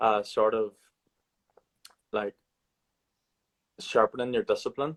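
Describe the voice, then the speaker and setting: In a strong Irish accent, a man talks at a fairly slow pace, the sound dry and close with no echo. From Ireland. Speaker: podcast host. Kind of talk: casual book discussion. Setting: live video stream.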